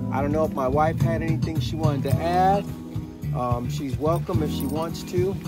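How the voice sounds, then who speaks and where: Loud music plays behind a man who talks at a moderate pace, the sound dry with no echo. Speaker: host of religious home video. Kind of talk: casual vlog chat and scripture reading. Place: tent.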